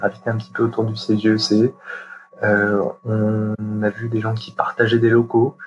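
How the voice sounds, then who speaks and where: Over music in the background, a man at a medium pitch speaks in a monotone, flat intonation at a fairly slow pace. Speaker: chartered accountant. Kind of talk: interview. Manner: halting, many fillers.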